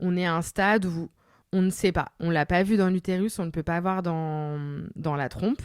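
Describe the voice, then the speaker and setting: This is a normal speaking voice at a moderate pace, its intonation fairly even. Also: woman. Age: 30s. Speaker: lawyer and podcaster. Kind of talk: interview answer, personal story. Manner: casual, conversational.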